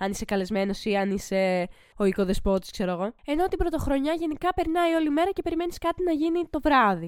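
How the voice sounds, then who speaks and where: Her pitch high and swinging very widely, a woman talks at a fairly quick pace with hardly any pauses. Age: 20s. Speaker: podcast co-host. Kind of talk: casual chat.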